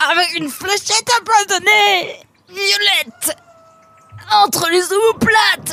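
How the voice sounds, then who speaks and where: A put-on character voice at an extremely high pitch goes at a fairly slow pace with long, frequent pauses, while faint music plays in the background. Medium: read story. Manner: mock-formal, taunting.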